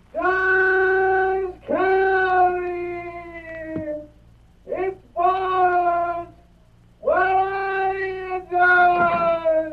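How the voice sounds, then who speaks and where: A put-on character voice, pitched extremely high, speaks loudly and very slowly with long, frequent pauses. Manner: loud, haunting.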